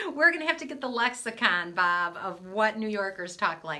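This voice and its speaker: Very wide pitch swings from a woman at a moderate pace. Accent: American. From US Midwest, Michigan. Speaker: motivational speaker, coach. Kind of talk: live stream talk to viewers. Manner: casual, chatty.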